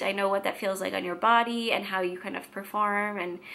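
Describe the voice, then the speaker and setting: A woman with an American accent talks with ordinary pitch variation against noticeable background noise. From Washington State, US. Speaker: vlogger. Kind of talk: casual vlog monologue.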